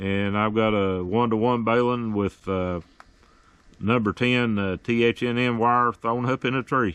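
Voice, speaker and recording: At a fairly slow pace, a man with a medium pitch speaks at very even loudness and with fairly even intonation. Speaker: history video host and ham radio operator. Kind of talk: casual narration and ham radio contact. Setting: outdoors, portable radio at campsite. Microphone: good signal.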